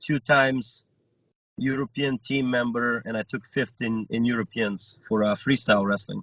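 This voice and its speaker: Man at medium pitch, fairly even intonation, moderate pace. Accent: Bulgarian. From Bulgaria, Stara Zagora. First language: Bulgarian. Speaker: wrestler and coach. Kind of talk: interview.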